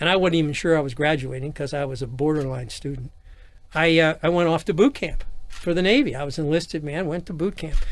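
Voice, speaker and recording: A man with an American accent and fairly high pitch speaks at a very fast pace with ordinary pitch variation. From Los Angeles area, California. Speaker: nightlife entrepreneur, navy veteran. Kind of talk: interview, personal storytelling. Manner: halting with false starts.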